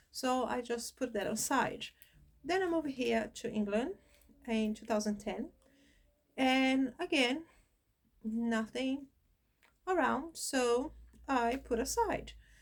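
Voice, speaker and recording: In a high pitch, a woman speaks at a very slow pace with ordinary pitch variation and long, frequent pauses. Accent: Brazilian Portuguese. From Brazil. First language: Portuguese. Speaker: spiritism channel host. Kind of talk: personal introduction monologue. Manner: hesitant, with fillers.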